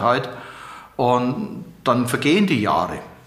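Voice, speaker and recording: There is audible room echo and noticeable background noise around this man as he talks. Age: 70s. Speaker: retired judge and prosecutor. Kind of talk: interview.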